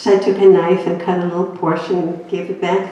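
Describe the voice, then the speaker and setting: A woman with a Greek accent talks at a moderate pace, with noticeable background noise and audible room echo. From Greece. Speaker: inspirational speaker. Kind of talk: personal testimony talk.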